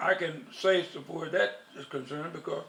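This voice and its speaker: Against noticeable background noise, a man speaks at a high pitch. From US South, Union, South Carolina. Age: 80s+. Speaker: war veteran. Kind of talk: oral history interview.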